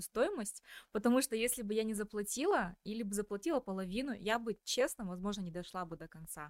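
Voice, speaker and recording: In a normal speaking voice, a woman talks at a fairly quick pace with a medium pitch and ordinary pitch variation, the sound dry and close with no echo. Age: 30s. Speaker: podcast host. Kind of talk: interview.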